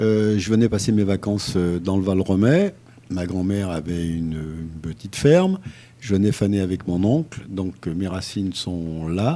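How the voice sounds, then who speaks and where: The man's voice is very deep and low, with a dark, mellow tone. He speaks at a fairly slow pace with ordinary pitch variation. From France, Lyon. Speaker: retired cycling race organizer and horse traveller. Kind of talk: radio interview. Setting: radio studio. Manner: halting, many fillers.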